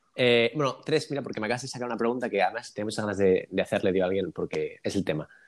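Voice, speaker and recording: Words come out at a very fast pace from a man. His voice sits at a medium pitch. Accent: Spanish. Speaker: podcast host. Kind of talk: casual interview.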